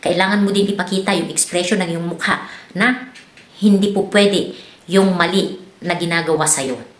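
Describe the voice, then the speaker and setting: Over noticeable background noise and audible room echo, a woman talks at a fairly quick pace with ordinary pitch variation. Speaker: vlogger and domestic worker abroad. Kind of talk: advice vlog. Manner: casual, many fillers.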